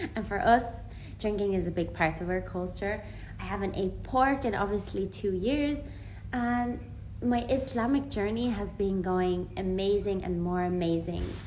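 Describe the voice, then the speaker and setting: A woman keeps a moderate pace while audible room echo surrounds her voice. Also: medium pitch for a woman, ordinary pitch variation. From Ireland. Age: 20s. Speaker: vlogger. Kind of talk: personal testimony. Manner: casual, conversational.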